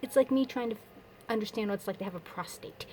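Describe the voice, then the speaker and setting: Ordinary pitch variation in a woman's voice. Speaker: vlogger. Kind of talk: casual personal vlog update. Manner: fast; rambling, with false starts.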